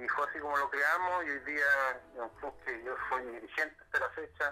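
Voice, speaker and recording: This man talks at a moderate pace in a fairly high pitch. His tone is bright and sharp, and his intonation fairly even. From Chile, Concepción area. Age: 40s. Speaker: social worker and local politician. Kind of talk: interview. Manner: halting, with frequent repetitions.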